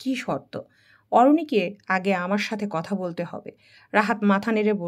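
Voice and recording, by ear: Here, a passage is read aloud in a natural voice. The pitch moves in an ordinary way.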